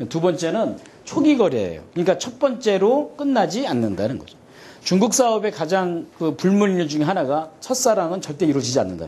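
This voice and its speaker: The pitch swings very widely and the loudness rises and falls in big jumps at a fairly quick pace. Room echo is audible. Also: man, high pitch for a man. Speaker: seminar lecturer on China business. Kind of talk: seminar lecture. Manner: fast.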